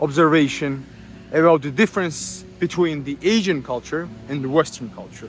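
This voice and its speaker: Speaking in a Georgian accent, a man uses a fairly high pitch. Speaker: YouTuber on culture and philosophy. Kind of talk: lecture-style monologue.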